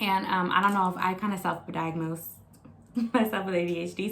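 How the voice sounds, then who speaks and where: A woman with a medium pitch talks at a moderate pace in an animated tone, with audible room echo and noticeable background noise. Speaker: vlogger. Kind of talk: casual weekly diary vlog.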